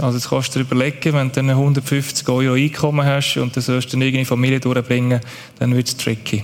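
This man speaks at a fairly quick pace in a medium pitch. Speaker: aid organization worker. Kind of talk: church stage interview.

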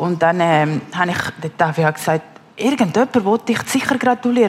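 A woman speaks with a Spanish accent and lively intonation. Noticeable background noise runs underneath. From Peru, Lima. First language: Spanish (speaking German). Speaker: mother telling her life story. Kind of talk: testimony interview. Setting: stage with live audience. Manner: halting, many fillers.

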